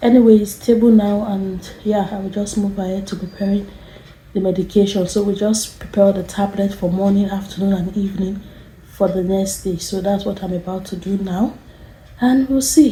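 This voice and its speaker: At a moderate pace, a soft-spoken woman talks at a medium pitch with fairly even intonation, amid noticeable background noise and audible room echo. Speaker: nurse. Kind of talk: vlog narration. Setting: hospital ward at night.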